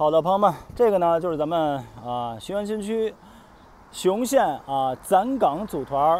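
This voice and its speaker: A man speaks at a moderate pace with very wide pitch swings. The sound is dry with no echo, over light background noise. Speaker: travel vlogger. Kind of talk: travel vlog narration, walking tour. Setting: outdoors on location. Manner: conversational, casual, with filler sounds. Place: street. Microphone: earbuds.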